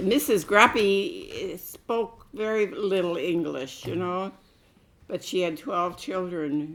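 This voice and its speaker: A woman at medium pitch speaks very slowly, her intonation lively. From US Midwest, Milwaukee Bay View. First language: Croatian. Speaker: oral history interviewee. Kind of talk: oral history interview. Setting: home interview.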